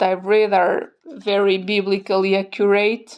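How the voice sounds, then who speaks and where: A woman with a non-native accent and a monotone, flat intonation. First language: not English. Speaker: tarot content creator. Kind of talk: product review. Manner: hesitant, many fillers.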